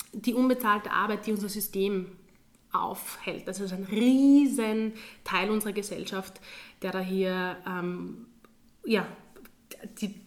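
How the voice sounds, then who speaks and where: With fairly even intonation and a medium pitch, a woman talks at a fairly slow pace. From Austria, Graz (Styria). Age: 20s. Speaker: teacher. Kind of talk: interview.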